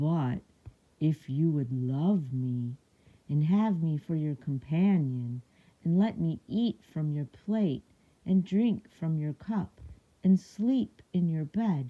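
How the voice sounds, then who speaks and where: Someone speaks in a put-on character voice at a middle pitch. The pace is very slow. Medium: read story.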